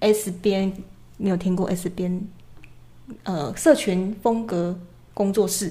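Soft-spoken and somewhat breathy, a woman speaks very slowly in a dark, mellow tone, with long, frequent pauses. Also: medium pitch for a woman, ordinary pitch variation. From Chiayi, southern Taiwan. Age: 20s. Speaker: illustrator and short-video creator. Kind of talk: casual chat.

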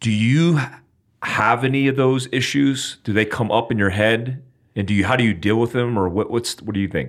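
An unremarkable speaking voice: a man with an American accent, medium pitch, ordinary pitch variation and a moderate pace. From United States. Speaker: podcast host, former intelligence officer. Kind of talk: interview.

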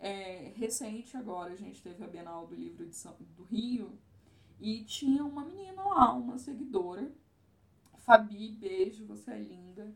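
A woman speaks fairly slowly with lively intonation and a fairly high pitch. Her voice is somewhat breathy, and the room echo is audible. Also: big swings in loudness. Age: 30s. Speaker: travel influencer. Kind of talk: casual chat.

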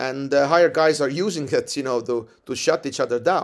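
A man with an Estonian accent is heard on a very clean recording with a silent background. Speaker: jiu-jitsu coach. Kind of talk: interview. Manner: halting.

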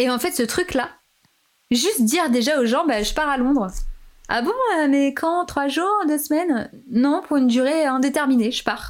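At a fairly slow pace, a woman with a high pitch speaks in an animated tone with lively intonation. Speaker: podcaster. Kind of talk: casual chat.

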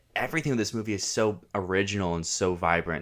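In a very clean recording with a silent background, a man with an American accent speaks fairly quickly in an ordinary speaking voice, fairly low-pitched, with ordinary pitch variation. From Virginia, US. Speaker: podcast co-host, film enthusiast. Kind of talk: casual chat.

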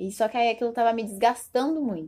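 An unremarkable speaking voice from a woman, fairly high in pitch, with ordinary pitch variation at a moderate pace. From Brazil, Diadema (São Paulo region). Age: 20s. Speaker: fashion business graduate, clothing brand owner. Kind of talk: casual chat.

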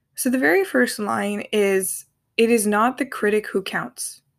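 A woman with a plain, everyday voice, fairly high in pitch, with ordinary pitch variation, on a very clean recording with a silent background. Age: 20s. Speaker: podcast host. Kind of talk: personal monologue.

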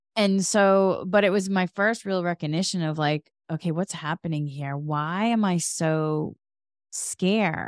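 A plain, everyday voice with an American accent, at a fairly slow pace with ordinary pitch variation, in a very clean, dry, close recording with a silent background and no echo. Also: woman, fairly low pitch for a woman. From Massachusetts. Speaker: podcast host. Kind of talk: casual chat.

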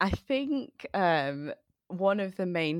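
This woman speaks with a Mancunian accent. The sound is dry and close with no echo, and the recording is very clean over a silent background. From Manchester, England. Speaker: mentoring initiative founder. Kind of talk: casual chat.

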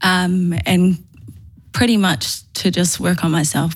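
In a very clean recording with a silent background, a woman with a fairly low pitch talks somewhat breathily at a fairly slow pace. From New Zealand, Manurewa (South Auckland), Māori. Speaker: youth organisation CEO. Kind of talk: casual interview.

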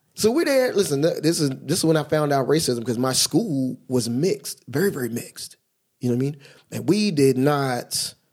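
An American accent marks this man's plain, everyday voice, pitched fairly high with ordinary pitch variation. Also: moderate pace. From Philadelphia and New Jersey, US. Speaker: track coach. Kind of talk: casual chat.

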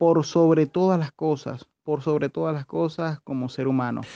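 Over a quiet background, a man with a Venezuelan accent speaks at a fairly slow pace in a fairly high voice with a dark, mellow tone and fairly even intonation, recorded dry and close with no echo. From Venezuela, Caracas. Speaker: podcast co-host, activist. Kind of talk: casual chat.

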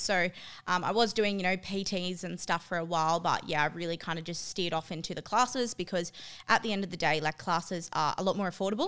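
A woman with an Australian accent and a medium pitch speaks in a bright, sharp tone on a very clean recording with a silent background. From Australia, New South Wales (Tamworth). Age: 20s. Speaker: gym owner and personal trainer. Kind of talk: casual interview.

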